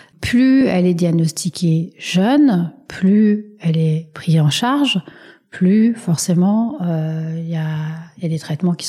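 Her voice is somewhat breathy, with a dark, mellow tone. The woman's pitch sits fairly low. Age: 40s. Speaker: patient advocacy association president. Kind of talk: interview. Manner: halting.

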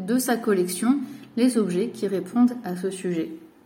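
Moderate pace and a fairly high pitch from a woman, with ordinary pitch variation and audible room echo. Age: 20s. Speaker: cultural mediator and art teacher. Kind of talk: recorded personal message.

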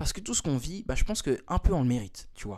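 This man's pitch shows ordinary variation. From Switzerland, Lausanne. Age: 20s. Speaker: dancer and beatmaker. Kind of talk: casual interview. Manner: hesitant, many fillers and repetitions.

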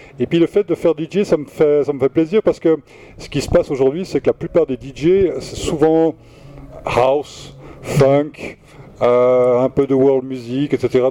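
A man with a fairly high pitch, fairly slow pace and fairly even intonation, in a dry, close sound with no echo and noticeable background noise. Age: 60s. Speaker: record shop manager. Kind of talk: radio interview. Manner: halting.

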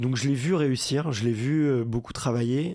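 This man's tone is dark and mellow, with fairly even intonation. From France, Paris. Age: 30s. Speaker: entrepreneur and podcaster. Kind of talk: casual interview.

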